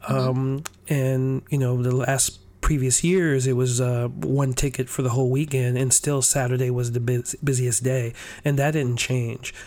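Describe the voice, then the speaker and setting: At a moderate pace, a man with a dark, mellow tone and medium pitch speaks in a monotone, flat way at very even loudness. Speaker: podcast host. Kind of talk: casual chat.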